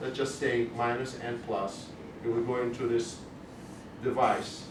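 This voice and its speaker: Over noticeable background noise and audible room echo, a man with a slight non-native accent speaks at a moderate pace. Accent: slight foreign. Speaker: cardiologist giving a talk. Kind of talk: educational lecture. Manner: conversational, with false starts.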